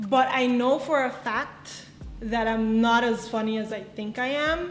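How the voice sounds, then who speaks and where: A woman with a fairly high voice speaks at a very slow pace with ordinary pitch variation, amid audible room echo and music in the background. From Aruba. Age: 20s. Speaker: content creator. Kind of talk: get-to-know-me vlog Q&A. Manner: casual, chatty.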